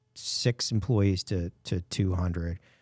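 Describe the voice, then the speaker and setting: A somewhat breathy, dark and mellow voice with fairly even intonation, recorded very cleanly against a silent background, dry and close with no echo. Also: man. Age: 60s. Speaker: podcast host, business owner. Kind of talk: casual interview chat.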